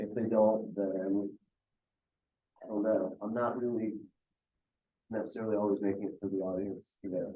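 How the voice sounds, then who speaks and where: A man speaks with an American accent at a moderate pace. His pitch sits fairly low. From India, later US. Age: 40s. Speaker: musician, singer-songwriter. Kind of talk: interview answers. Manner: casual, halting with fillers.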